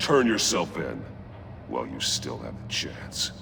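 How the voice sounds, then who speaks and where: A man doing a put-on character voice talks fairly slowly while loud background noise fills the clip. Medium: video game. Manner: terse, controlled.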